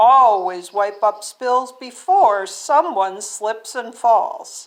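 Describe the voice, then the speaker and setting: In a put-on character voice, a woman speaks at a very slow pace with a fairly high pitch and lively intonation. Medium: read story. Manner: earnest, instructive.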